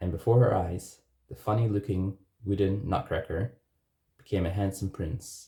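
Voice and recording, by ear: A natural voice reads a passage aloud. Nothing else can be heard behind it.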